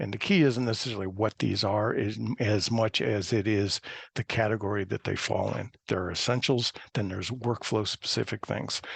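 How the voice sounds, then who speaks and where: A man's fairly low voice carries vocal fry and fairly even intonation. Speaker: presenter at a GIS webinar. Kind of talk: webinar presentation. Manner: fast.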